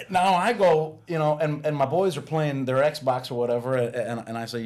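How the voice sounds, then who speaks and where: A man with a fairly high voice talks while noticeable background noise goes on. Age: 40s. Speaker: guest on faith podcast, pastor's son. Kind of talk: casual chat. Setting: podcast studio. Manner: halting, many fillers and repeats.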